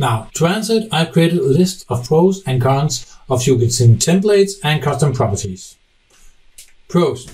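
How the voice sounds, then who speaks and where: A somewhat breathy man speaks at a moderate pace in a fairly high pitch, with very wide pitch swings. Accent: Danish. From Denmark. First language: Danish. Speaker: software technical specialist. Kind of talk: conference presentation.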